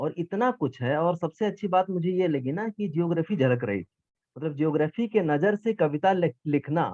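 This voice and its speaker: Lively intonation runs through this man's fairly high pitch. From eastern Uttar Pradesh, India. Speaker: geography teacher and competition judge. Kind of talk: vote of appreciation at an event. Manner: informal, with hesitations.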